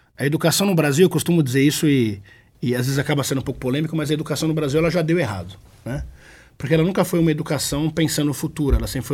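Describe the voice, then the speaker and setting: A man speaks very fast at a fairly high pitch with vocal fry and ordinary pitch variation. The recording is very clean, with a silent background. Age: 30s. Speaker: innovation expert. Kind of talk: interview.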